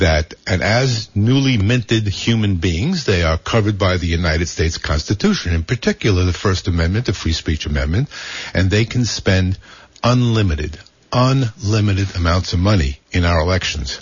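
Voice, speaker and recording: A man speaks at a very deep, low pitch. His voice is somewhat breathy, with ordinary pitch variation. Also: moderate pace, very even loudness. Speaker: activist. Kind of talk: radio interview. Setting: radio studio.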